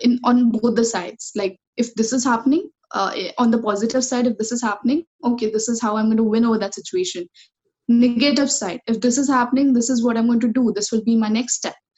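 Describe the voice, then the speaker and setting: Very fast, fairly even speech from a woman with a fairly high pitch, with music in the background. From India, Kolhapur, Maharashtra. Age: 20s. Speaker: student mental health advocate. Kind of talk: interview.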